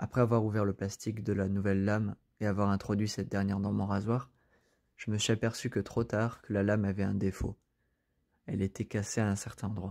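A man with a fairly low voice talks at a fairly quick pace in a monotone, flat delivery, broken by long, frequent pauses, on a very clean recording with a silent background. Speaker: storyteller. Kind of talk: scripted horror story narration, first-person creepypasta, hushed and suspenseful.

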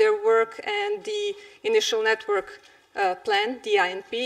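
Against a quiet background, a woman speaks at a fairly slow pace. Her pitch is high. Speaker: conference presenter. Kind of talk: presentation. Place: hall.

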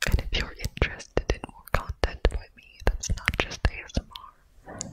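A soft-spoken whisper at a moderate pace. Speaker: ASMR creator. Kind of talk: soft ASMR outro chat. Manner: close soft ASMR whisper. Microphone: studio mic.

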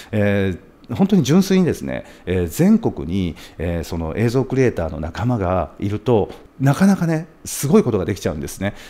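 Speaking at a moderate pace, a man with a dark, mellow tone and a fairly low pitch makes very wide pitch swings. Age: 40s. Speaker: video producer and YouTuber; YouTuber. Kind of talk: monologue to camera; casual vlog chat. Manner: polite and formal; frequent filler hesitations. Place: studio. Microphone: studio mic.

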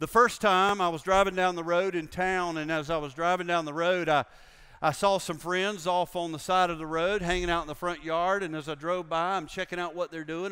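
Against a quiet background, a man with an American accent talks at a fairly quick pace in a high, bright and sharp voice with fairly even intonation. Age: 60s. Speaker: pastor. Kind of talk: sermon. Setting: church with congregation. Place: church.

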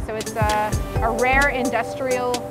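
Loud music plays behind a woman whose voice sounds dry, with no echo. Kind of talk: interview answer. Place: factory. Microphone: lapel.

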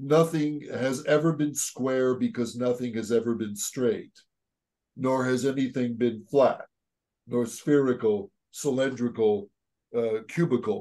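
Against a quiet background, a man talks at a fairly slow pace in a dark, mellow tone with ordinary pitch variation. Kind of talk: discussion. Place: home room. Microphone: video call.

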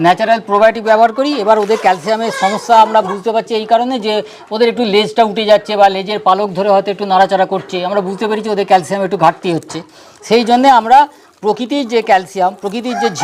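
A man with a high pitch keeps a fairly even intonation amid noticeable background noise. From West Bengal, Hooghly district. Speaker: poultry farming consultant. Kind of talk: interview. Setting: on a farm.

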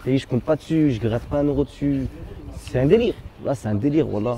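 Light background noise runs under a man speaking at a fairly quick pace. His fairly high voice has a dark, mellow tone and lively intonation. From Lyon, France (Gerland, 7th arrondissement); Lyon. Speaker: rapper; interviewee. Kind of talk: casual chat. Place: street. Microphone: phone near.

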